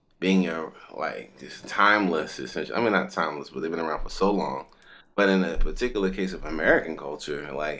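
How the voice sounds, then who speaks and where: A man talks at a fairly quick pace. His voice is very deep and low, with vocal fry. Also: ordinary pitch variation. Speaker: musician and kora player. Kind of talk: interview answer. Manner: casual, conversational.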